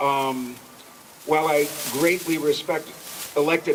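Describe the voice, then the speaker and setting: A man, with noticeable background noise. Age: 70s. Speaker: jazz festival organizer. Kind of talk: speech at a rally. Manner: impassioned.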